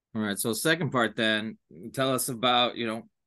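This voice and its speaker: This man talks at a moderate pace with fairly even intonation and medium pitch. He has a plain, everyday voice, and the background is quiet. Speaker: basketball podcast host. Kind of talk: podcast interview.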